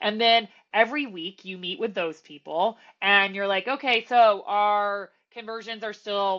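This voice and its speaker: Here is a woman at medium pitch. Her pitch varies in an ordinary way. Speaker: process improvement consultant. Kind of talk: podcast interview. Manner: loud.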